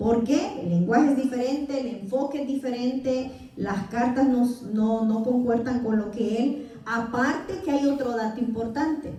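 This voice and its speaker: In a Salvadoran accent, a woman speaks with a high pitch and ordinary pitch variation at a fairly slow pace. Room echo is audible and the background noise is noticeable. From El Salvador. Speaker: Bible teacher. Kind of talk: Bible class lecture.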